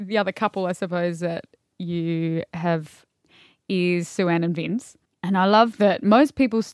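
On a very clean recording with a silent background, a woman with a normal speaking voice talks at a fairly slow pace and fairly low pitch, with ordinary pitch variation and a dry, close sound with no echo. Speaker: podcast co-host.

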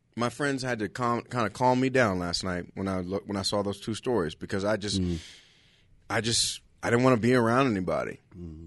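A man with an American accent talks at a fairly quick pace in a plain, everyday voice. His pitch is fairly low with ordinary pitch variation, and the background is quiet. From Los Angeles, California. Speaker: stand-up comedian. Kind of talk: casual chat.

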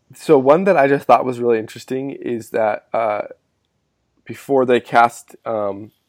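The man speaks at a moderate pace with a medium pitch. His pitch variation is ordinary. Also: long, frequent pauses, big swings in loudness. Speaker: returning podcast guest, movie fan. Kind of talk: casual chat.

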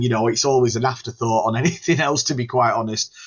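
At a fairly quick pace, a man with a normal speaking voice talks at medium pitch with ordinary pitch variation. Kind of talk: relaxed studio interview chat with a mate, not scripted DJ patter. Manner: laid-back, chatty and friendly, with casual fillers and restarts; easygoing, talks about his music in a warm, rambling way.

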